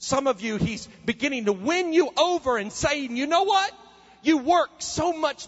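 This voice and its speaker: Over noticeable background noise, a man's voice makes very wide pitch swings. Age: 30s. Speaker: preacher. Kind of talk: sermon. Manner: animated.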